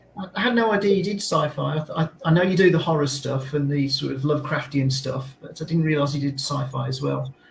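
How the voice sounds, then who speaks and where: The delivery comes at a very fast pace with hardly any pauses and ordinary pitch variation. Noticeable background noise sits behind it. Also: man, fairly high pitch for a man. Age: 60s. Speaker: musician and music writer. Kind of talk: casual chat. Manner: halting.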